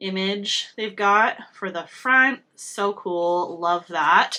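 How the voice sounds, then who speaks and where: A woman's voice has a bright, sharp tone in a very clean recording with a silent background. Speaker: beauty vlogger. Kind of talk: casual makeup review. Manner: halting, many fillers.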